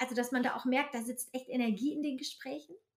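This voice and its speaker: With ordinary pitch variation, a woman talks in a high pitch. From northern Germany. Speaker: podcast host, platform founder. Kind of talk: casual interview. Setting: wearing headphones.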